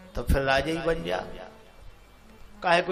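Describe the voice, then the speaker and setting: Music plays behind a man speaking at a high pitch. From Etah, Uttar Pradesh, India. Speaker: Ramayana discourse preacher. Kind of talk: religious discourse.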